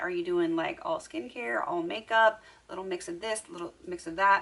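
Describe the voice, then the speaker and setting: With noticeable background noise behind her, a woman talks at a fairly quick pace, her pitch swinging very widely. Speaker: beauty vlogger. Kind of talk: casual monologue to camera. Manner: normally fast.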